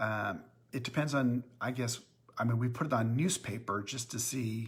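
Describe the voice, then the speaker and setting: Somewhat breathy and fairly slow, a man speaks at a medium pitch. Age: 60s. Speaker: company owner hosting live Q&A. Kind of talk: live-stream Q&A chat. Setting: Facebook live stream. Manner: hesitant, many filler words.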